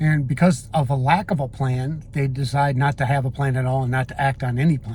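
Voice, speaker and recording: A man talks in a somewhat breathy voice at a medium pitch with fairly even intonation. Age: 60s. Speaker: retirement vlogger. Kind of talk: casual monologue. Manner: halting.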